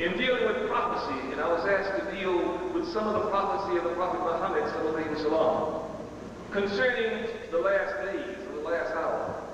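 Moderately paced male speech amid strong room echo and noticeable background noise. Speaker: religious lecturer. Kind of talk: lecture.

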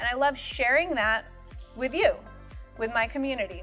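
A woman's voice with faint music in the background. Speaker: fitness coach. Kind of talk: upbeat to-camera introduction. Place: gym.

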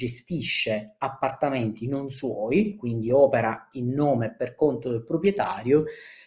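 Against a quiet background, a man with a southern Italian accent speaks in a somewhat breathy voice with lively intonation. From southern Italy. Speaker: short-term rental business speaker; webinar presenter. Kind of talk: conference talk. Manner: hesitant, many fillers. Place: home room. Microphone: webcam.

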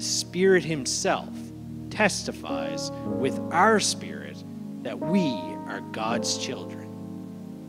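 Someone speaks at a very slow pace while music plays clearly in the background. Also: man. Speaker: speaker. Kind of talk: sermon. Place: church. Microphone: handheld.

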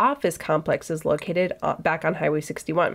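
Against a quiet background, a woman speaks at a moderate pace. She has an American accent. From US Midwest, northern Minnesota. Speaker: podcast host. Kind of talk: solo history talk. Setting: office. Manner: casual, conversational. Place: office.

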